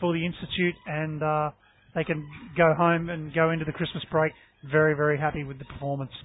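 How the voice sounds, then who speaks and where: In an Australian accent, a man speaks at a moderate pace. His pitch is fairly high for a man, and his intonation is fairly even. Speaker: basketball colour commentator. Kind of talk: live sports commentary.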